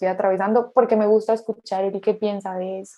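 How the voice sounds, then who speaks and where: A woman's medium-pitched voice in a flat, monotone delivery. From Colombia, Pereira. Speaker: podcast co-host, couples therapist. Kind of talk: casual chat.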